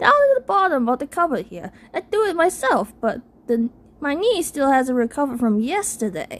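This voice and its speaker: A woman performs a put-on character voice at a high pitch. Her pitch swings very widely. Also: moderate pace. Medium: read story. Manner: theatrical, whiny.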